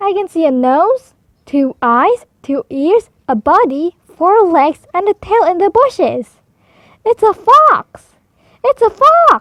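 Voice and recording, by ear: A woman puts on a character voice at an extremely high pitch with big pitch swings and a fairly bright tone. She talks at a slow pace in a dry, close sound with no echo.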